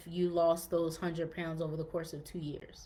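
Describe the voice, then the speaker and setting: A woman's fairly low voice with audible room echo. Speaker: fitness podcast host. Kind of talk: podcast monologue, live-streamed to group. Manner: casual, many fillers.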